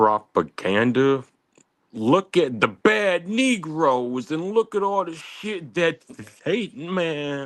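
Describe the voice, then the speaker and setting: Pitch swinging very widely, a man talks at a very slow pace. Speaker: caller on a live stream debate panel. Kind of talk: heated debate. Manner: halting.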